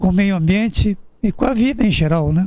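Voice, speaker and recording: Here a man speaks with a high pitch and a dark, mellow tone. His pace is fairly slow, with ordinary pitch variation. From northern Italy, moved to Brazil at 12. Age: 70s. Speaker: illustrator and visual artist. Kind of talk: interview.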